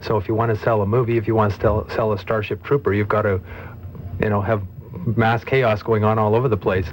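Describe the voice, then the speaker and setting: Against noticeable background noise, a man with a fairly low pitch speaks very fast with fairly even intonation. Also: very even loudness. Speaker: commentator on the political left. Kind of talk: radio panel debate.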